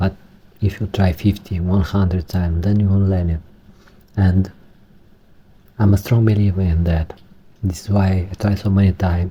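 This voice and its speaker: A man with a Romanian accent speaks at a moderate pace in a very deep, low pitch, with a dark, mellow tone, somewhat breathy, in monotone, flat intonation at very even loudness, with long, frequent pauses. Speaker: Linux hobbyist tech tutorial maker. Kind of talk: tutorial. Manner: halting, not fluent.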